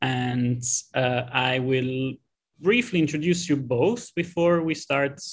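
Over a quiet background, the speaker uses ordinary pitch variation. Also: man. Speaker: host introducing an online event. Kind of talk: moderating a webinar. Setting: video call. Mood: friendly, pleased.

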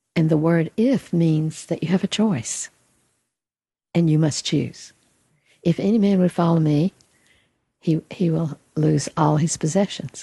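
Somewhat breathy and with a dark, mellow tone, a woman at a fairly low pitch talks at a fairly slow pace with ordinary pitch variation, very even loudness and long, frequent pauses. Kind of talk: spiritual teaching conversation.

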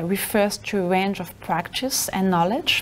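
At a fairly slow pace, a woman talks in a medium pitch. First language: not English; works in Spanish and Portuguese. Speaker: researcher presenting a lecture. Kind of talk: lecture. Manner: halting. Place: classroom.

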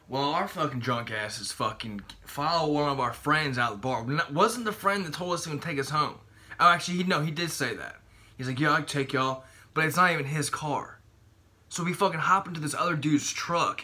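A man with a bright, sharp tone and fairly high pitch talks at a fairly quick pace. His tone is animated, with ordinary pitch variation. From Maryland, US. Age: 20s. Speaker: bodybuilding vlogger. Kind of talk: casual vlog monologue. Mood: relaxed, laid-back. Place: home room. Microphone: phone near.

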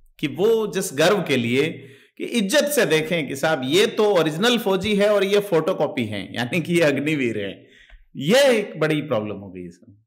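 Speaking at a moderate pace against a quiet background, a man with a fairly high pitch shows vocal fry, very wide pitch swings and big swings in loudness. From India. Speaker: interviewer. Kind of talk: interview discussion. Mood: animated, smiling. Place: home room. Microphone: studio mic.

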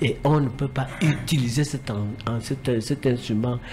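A man talks at a medium pitch. His pitch moves with ordinary variation.

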